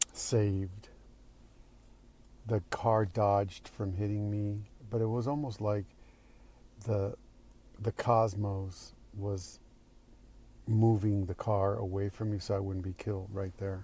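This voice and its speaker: In a dark, mellow, somewhat breathy tone, a man with a fairly low pitch speaks at a very slow pace, monotone and flat, with long, frequent pauses. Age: 60s. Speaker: actor. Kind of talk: recorded personal video message answering questions. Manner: halting.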